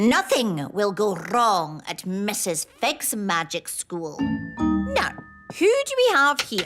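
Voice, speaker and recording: Loud music in the background plays under a cartoonish character voice that sounds female, speaking at a medium pitch and a very slow pace. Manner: stern, brisk, no-nonsense.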